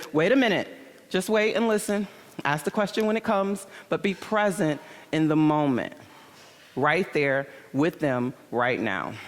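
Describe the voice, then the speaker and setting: A woman with an American accent, fairly low-pitched, at a moderate pace, animated in tone, with very wide pitch swings, long and frequent pauses, and very even loudness. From Michigan, US Midwest. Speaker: conference speaker. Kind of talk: conference talk.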